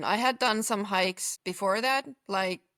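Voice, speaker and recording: A woman's medium-pitched voice at a fairly slow pace, with ordinary pitch variation and a dry, close sound with no echo. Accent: Finnish. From central Finland. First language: Finnish. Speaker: long-distance hiker. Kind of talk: casual interview. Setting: video call.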